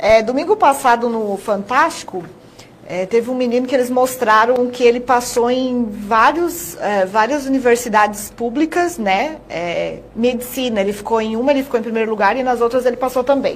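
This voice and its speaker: Noticeable background noise sits behind the speaker. She is a woman with a high voice and ordinary pitch variation. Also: moderate pace. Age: 30s. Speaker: TV presenter. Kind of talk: TV interview.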